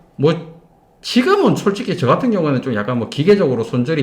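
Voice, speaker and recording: Vocal fry colors this man's voice as his pitch swings very widely at a moderate speed. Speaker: stock trader. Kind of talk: casual interview chat. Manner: halting, many repetitions and restarts.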